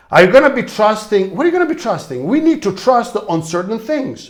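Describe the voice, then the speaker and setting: An animated man at a high pitch and fairly quick pace, with very wide pitch swings. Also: hardly any pauses. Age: 60s. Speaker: leadership coach. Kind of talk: motivational talk.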